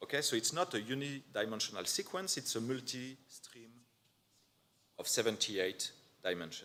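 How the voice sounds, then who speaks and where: With a non-native accent, a man talks at a medium pitch and a moderate pace, using lively intonation, a bright, sharp tone and long, frequent pauses. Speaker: neuroscience researcher. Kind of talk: conference talk. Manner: hesitant, many fillers.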